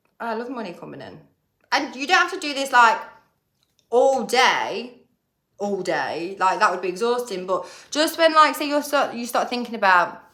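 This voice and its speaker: With an English accent, a woman speaks at a high pitch in an animated tone, with very wide pitch swings and big swings in loudness. Long, frequent pauses break up her speech, and audible room echo surrounds it. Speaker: manifestation coach. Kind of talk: casual vlog talk. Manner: fast.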